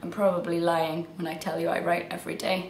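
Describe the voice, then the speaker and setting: Amid audible room echo and noticeable background noise, a woman talks at a fairly quick pace. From England. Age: 20s. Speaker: writer. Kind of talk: casual self-introduction video. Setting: at home in her flat.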